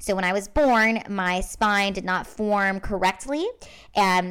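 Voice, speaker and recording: Over a very clean recording with a silent background, a woman with an American accent uses a normal speaking voice at medium pitch with ordinary pitch variation. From Washington State. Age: 30s. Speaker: stand-up comedian and show host. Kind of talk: casual chat.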